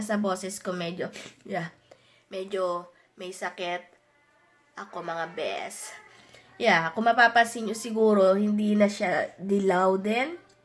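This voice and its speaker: A woman speaks at a fairly slow pace with fairly even intonation and a medium pitch. Music plays in the background, and her loudness swings widely. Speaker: vlogger. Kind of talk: casual vlog talk. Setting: home office.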